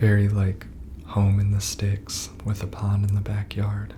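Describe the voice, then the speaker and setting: A soft-spoken man with an American accent talks at a very slow pace and fairly low pitch. Noticeable background noise runs underneath. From US Midwest. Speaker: ASMR gaming narrator. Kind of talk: ASMR let's play voiceover commentary. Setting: voiceover recorded over pre-recorded gameplay.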